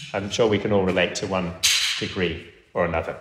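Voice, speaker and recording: This man has an English accent. He talks at a fairly quick pace. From England. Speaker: pastor. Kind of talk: sermon. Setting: church.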